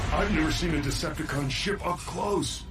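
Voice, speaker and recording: A cartoonish character voice talks at a moderate pace over loud background noise. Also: man. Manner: earnest, hesitant.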